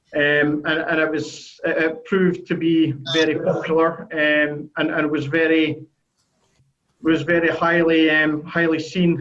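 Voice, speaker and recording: Fairly slow and in a monotone, flat intonation, a man with a Scottish accent speaks at fairly high pitch with very even loudness. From Scotland. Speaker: sheet metal software consultant. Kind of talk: business video call presentation. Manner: halting, many fillers and repetitions.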